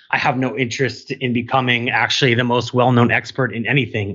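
In an American accent, an ordinary speaking voice moves at a fairly quick pace. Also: man. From New York City. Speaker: network infrastructure product director. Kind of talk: interview.

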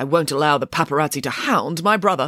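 A woman's put-on character voice, low in pitch, bright and sharp, fast and lively in intonation, with a dry, close sound and no echo

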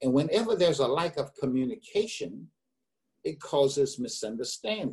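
A man with an American accent speaks at a moderate pace in a fairly high, somewhat breathy voice with very wide pitch swings. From US South, eastern North Carolina. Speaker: business consultant. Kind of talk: interview.

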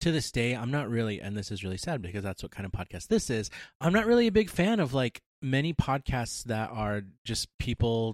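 A man speaks in an ordinary speaking voice at a medium pitch, with lively intonation and a fairly quick pace. The recording is very clean with a silent background and has a dry, close sound with no echo. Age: 30s. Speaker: podcast co-host. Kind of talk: casual chat.

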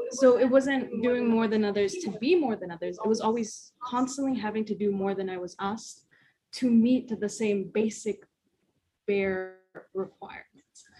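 A woman's somewhat breathy, dark, mellow tone at a fairly high pitch, with ordinary pitch variation and a moderate pace. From Las Vegas, US. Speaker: college student. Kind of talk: casual chat.

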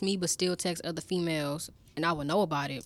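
On a very clean recording with a silent background, a woman speaks at a moderate pace in a fairly low pitch with ordinary pitch variation. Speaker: college student. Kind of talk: casual chat.

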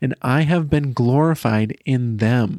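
Speaking at a very slow pace with lively intonation, a man with a medium-pitched voice is heard in a dry, close sound with no echo on a very clean recording over a silent background. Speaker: podcast host. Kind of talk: podcast intro and conversation.

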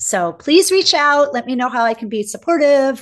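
With lively intonation, a woman speaks. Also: quiet background. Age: 50s. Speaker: spiritual mentor and educational consultant. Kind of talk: interview conversation.

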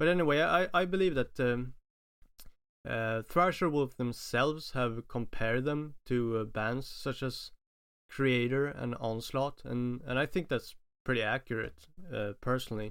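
Talking at a fairly slow pace, a man of medium pitch has a clear, smooth, fairly bright tone and ordinary pitch variation.

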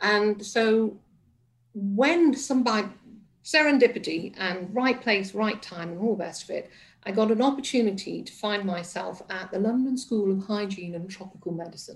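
Moderately paced and somewhat breathy, a woman's medium-pitched voice shows ordinary pitch variation and big swings in loudness. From northern England, Liverpool and Manchester area. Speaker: resilience coach and former hospice chief executive. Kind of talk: radio interview.

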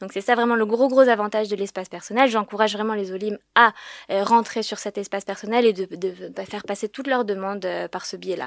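A woman's voice of medium pitch, an unremarkable speaking voice, with fairly even intonation, big swings in loudness, and a dry, close sound with no echo. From France, Paris. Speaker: government agency regional manager. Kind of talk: informational interview.

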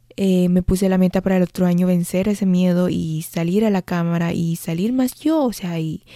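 A woman with a dark, mellow tone speaks at a moderate pace with fairly even intonation, in a very clean recording with a silent background. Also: dry, close sound with no echo. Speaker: nutrition podcast host. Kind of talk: solo reflective monologue. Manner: occasional stammering.

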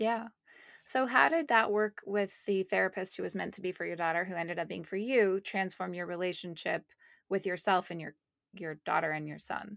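A normal speaking voice, this woman talks with a Canadian accent at a fairly quick pace, with a medium pitch, ordinary pitch variation and big swings in loudness, in a very clean recording with a silent background and a dry, close sound with no echo. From Canada, Montreal. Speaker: podcast host. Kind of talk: interview; scripted narration.

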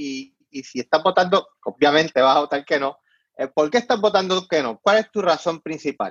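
Here is a man with a plain, everyday voice and a fairly high pitch. He keeps a moderate pace with lively intonation. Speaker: online show host. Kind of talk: casual interview.

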